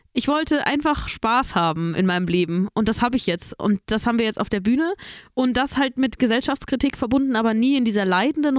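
A woman's plain, everyday voice, fairly high in pitch, with lively intonation at a fairly quick pace. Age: 20s. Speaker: singer. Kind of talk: casual chat.

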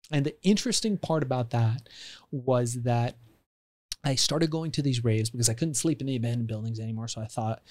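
An unremarkable speaking voice from a man with an American accent, medium in pitch, ordinary pitch variation, fairly quick pace, very clean recording with a silent background. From Iran, raised in the US from childhood. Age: 40s. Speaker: entrepreneur and author. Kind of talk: podcast interview.

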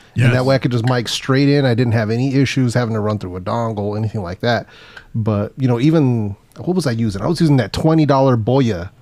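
At a very fast pace and with ordinary pitch variation, the voice comes through noticeable background noise. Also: man, medium pitch for a man. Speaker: guest podcaster, gadget reviewer. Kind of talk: casual chat.

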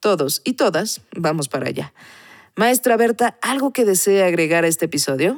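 A woman's medium-pitched voice with very wide pitch swings, in a very clean recording against a silent background. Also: dry, close sound with no echo. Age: 40s. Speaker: podcast host. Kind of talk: interview.

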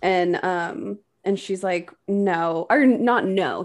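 A woman's medium-pitched, plain, everyday voice with lively intonation. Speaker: podcast co-host. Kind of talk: casual chat.

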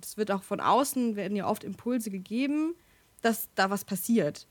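In a very clean recording with a silent background, a woman speaks in a normal speaking voice at a moderate pace with ordinary pitch variation. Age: 20s. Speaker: theology student. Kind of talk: casual chat.

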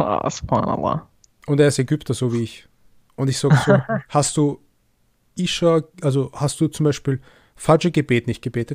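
An unremarkable speaking voice of medium pitch, a man's, shows ordinary pitch variation in a very clean recording with a silent background and a dry, close sound with no echo. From Egyptian family. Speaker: podcast host. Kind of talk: interview.

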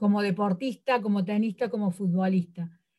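A woman talks at a moderate pace in a normal speaking voice with ordinary pitch variation. The recording is very clean with a silent background. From Córdoba, Argentina. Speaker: sports coach. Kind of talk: interview.

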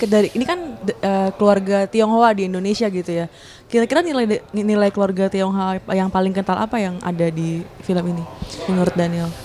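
The voice carries ordinary pitch variation against noticeable background noise. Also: woman. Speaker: film podcast host and journalist. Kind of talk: casual chat.

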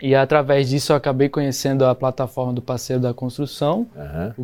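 Speaking at a moderate pace, a man has a fairly high pitch and a dark, mellow tone. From Brazil, Goiás (rural). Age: 20s. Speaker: permaculture builder. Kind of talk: interview. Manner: halting.

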